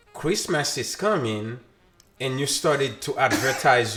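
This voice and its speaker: A man talks with lively intonation over music in the background. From Haiti. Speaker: podcast co-host. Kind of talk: casual political chat. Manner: repetitive, halting.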